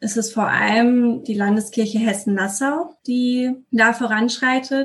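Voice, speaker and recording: Somewhat breathy, a woman speaks at a fairly high pitch with monotone, flat intonation. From Westphalia, Germany. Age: 20s. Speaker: deacon and social worker. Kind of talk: interview.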